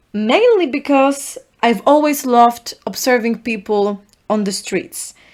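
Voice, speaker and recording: Speaking at a very slow pace, a woman with a Polish accent uses a high pitch and lively intonation. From Poland. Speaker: podcast host. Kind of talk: solo podcast monologue.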